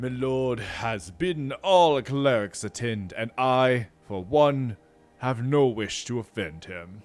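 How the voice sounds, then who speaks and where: A man puts on a character voice at a medium pitch, talking fairly slowly with lively intonation. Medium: read story. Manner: nervous.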